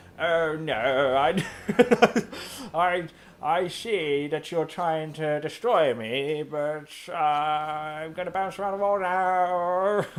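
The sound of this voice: At a very slow pace, a put-on character voice holds a middle pitch.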